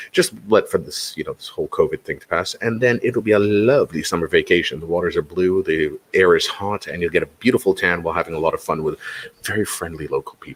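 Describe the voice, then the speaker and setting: In a dry, close sound with no echo, a man talks at a very fast pace with hardly any pauses and big swings in loudness. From Toronto, Canada. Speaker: quiz show host. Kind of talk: live quiz stream chat. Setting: live stream. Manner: animated.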